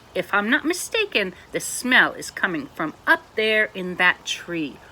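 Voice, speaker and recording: This is a put-on character voice. It sounds female, with a fairly high pitch for a woman. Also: fairly slow pace. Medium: read story. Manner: slow, kindly.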